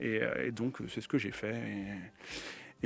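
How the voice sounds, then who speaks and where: On a very clean recording with a silent background, a man speaks with fairly low pitch and vocal fry. His pitch moves in an ordinary way. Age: 30s. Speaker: DJ and music producer. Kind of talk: radio interview. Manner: hesitant, many fillers.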